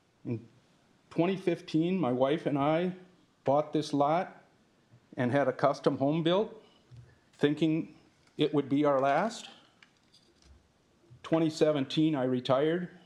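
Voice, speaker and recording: Fairly slow delivery from a man with an Upper Midwest accent, fairly high in pitch, with ordinary pitch variation and long, frequent pauses. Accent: Upper Midwest (Minnesota). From Farmington, Minnesota. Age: 60s. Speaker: retired construction worker, resident. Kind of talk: public comment at city council meeting. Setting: city council chamber.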